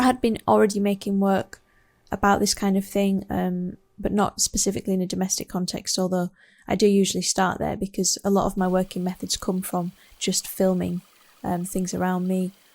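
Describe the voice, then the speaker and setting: The voice carries a West Yorkshire accent. It moves at a fairly quick pace in a flat monotone. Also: woman, medium pitch for a woman. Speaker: artist. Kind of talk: artist talk about own work. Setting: home studio. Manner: hesitant, many fillers.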